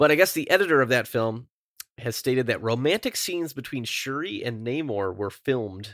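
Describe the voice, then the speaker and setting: On a very clean recording with a silent background, a man speaks fairly quickly at a medium pitch in a plain, everyday voice with lively intonation. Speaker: podcast host. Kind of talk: casual chat.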